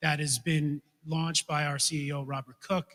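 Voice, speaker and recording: With a New York accent, a man talks in a fairly high pitch with a bright, sharp tone. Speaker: financial regulator. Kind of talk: conference talk. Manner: fast.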